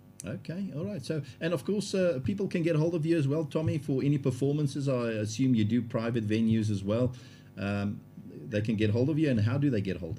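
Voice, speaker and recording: Speaking at a fairly quick pace, a man uses a medium pitch, a somewhat breathy voice, lively intonation, and a dark, mellow tone. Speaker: interviewer. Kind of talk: interview.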